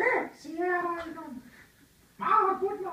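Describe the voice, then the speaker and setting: A cartoonish, female-sounding character voice at an extremely high pitch, with slight echo. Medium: puppet show. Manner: breezy, playful.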